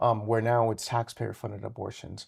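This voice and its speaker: On a very clean recording with a silent background, a man with a General American accent uses an ordinary speaking voice at a medium pitch and fairly quick pace. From Colorado, Fort Morgan and Greeley. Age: 30s. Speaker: state politician. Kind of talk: interview.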